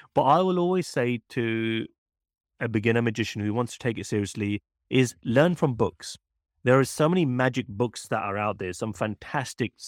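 With a British accent and lively intonation, a man speaks at medium pitch and a moderate pace on a very clean recording with a silent background and a dry, close sound with no echo. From UK. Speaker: magician and mentalist. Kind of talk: casual interview chat.

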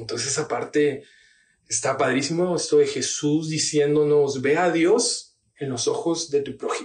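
A somewhat breathy man at a fairly high pitch, speaking fairly slowly with ordinary pitch variation. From Tabasco, Mexico. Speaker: pastor. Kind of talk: casual chat.

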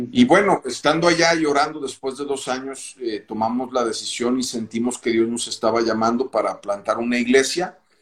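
A man speaks in an unremarkable speaking voice at medium pitch with ordinary pitch variation. He keeps a moderate pace with hardly any pauses. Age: 50s. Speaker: pastor and clothing business owner. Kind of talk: casual interview.

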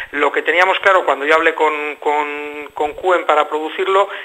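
Over noticeable background noise, a man with a fairly high voice speaks with fairly even intonation. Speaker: band member musician. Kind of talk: radio interview.

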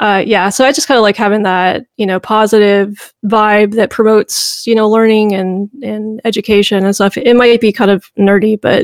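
At a moderate pace and hardly pausing, a woman with a slight Southern US accent speaks at a fairly high pitch with fairly even intonation. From US South, Memphis, Tennessee. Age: 40s. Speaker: history YouTuber. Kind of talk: casual chat.

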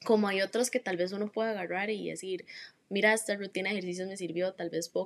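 Talking at a very fast pace, a woman keeps a medium pitch in a monotone, flat intonation. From Costa Rica, Heredia. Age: young. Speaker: interviewee. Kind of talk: interview.

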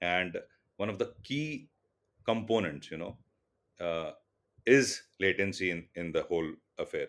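A man with an Indian accent talks at a fairly slow pace, with long, frequent pauses. The recording is very clean, with a silent background. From India, Mumbai. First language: Tulu. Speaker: telecom business executive. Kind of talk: interview. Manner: halting with many fillers.

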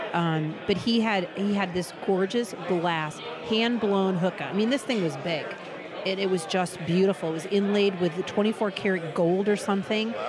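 The speaker has an animated tone and a moderate pace. Crowd noise fills the background. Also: woman, medium pitch for a woman. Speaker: shop owner. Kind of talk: casual chat. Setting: restaurant.

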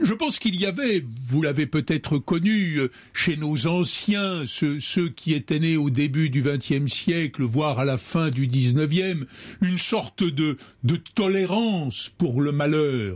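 A fairly high-pitched man at a very slow pace with lively intonation. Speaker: lawyer. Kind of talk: thoughtful interview discussion. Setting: radio studio. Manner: measured, formal, reflective.

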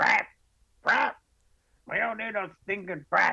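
A put-on character voice pitched fairly high. It moves at a fairly slow pace. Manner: squawking, grating.

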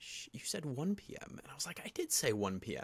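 A man talks at a moderate pace. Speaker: podcast co-host. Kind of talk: casual chat about mental health. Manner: laid-back, chill.

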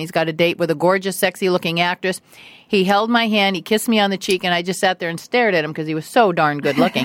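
A woman in an American accent speaks at a very fast pace, medium in pitch with fairly even intonation. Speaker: guest's wife. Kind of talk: casual interview chat. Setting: studio.

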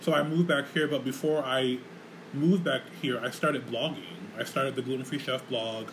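A man with an American accent talks in an ordinary speaking voice at a medium pitch, with fairly even intonation and a fairly quick pace. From Rochester, New York. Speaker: podcast host and community center director. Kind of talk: casual chat. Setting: community center studio.

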